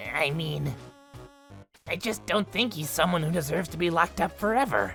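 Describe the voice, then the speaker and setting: Faint music plays behind a man doing a cartoonish character voice, fairly high-pitched and fairly quick. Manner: bubbly, upbeat.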